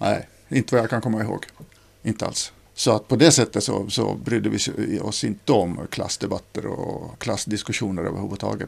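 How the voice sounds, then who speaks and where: Fairly quick and fairly low-pitched, this man's voice has vocal fry and ordinary pitch variation. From Finland, Ostrobothnia (Nykarleby). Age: 40s. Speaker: author. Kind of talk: casual conversation. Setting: in a private home. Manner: halting, repeats words.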